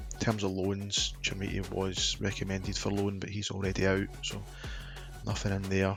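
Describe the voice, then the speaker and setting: Music plays behind a man who talks at a moderate speed. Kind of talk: gaming commentary. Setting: headset microphone, home recording. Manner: casual, conversational.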